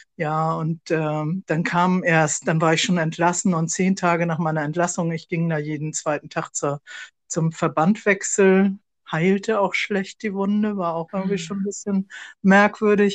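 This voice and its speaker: A woman with an unremarkable speaking voice talks at a fairly slow pace, her fairly low pitch and fairly even intonation caught in a dry, close sound with no echo against a quiet background. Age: 60s. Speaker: podcast co-host, sarcoma patient, civil servant. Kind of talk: casual conversation.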